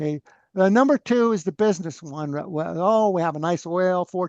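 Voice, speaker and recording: A man's voice, dry and close with no echo. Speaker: free energy researcher. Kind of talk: interview conversation. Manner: loud; animated.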